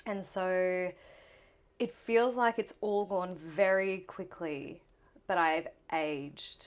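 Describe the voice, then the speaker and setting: In an Australian accent, a woman of medium pitch speaks at a very slow pace with ordinary pitch variation and long, frequent pauses. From Queensland, Australia (Gold Coast). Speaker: musical theatre performer. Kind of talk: casual interview. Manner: animated.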